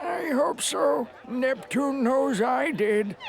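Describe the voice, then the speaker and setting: In a put-on character voice of fairly high pitch, the speaker goes at a very slow pace amid clear background noise. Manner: frail, acted elderly.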